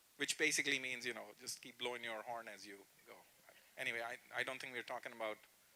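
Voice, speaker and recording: A man with an animated tone talks at a moderate pace and medium pitch over noticeable background noise. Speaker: professor giving a workshop. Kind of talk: workshop lecture. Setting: room with live audience.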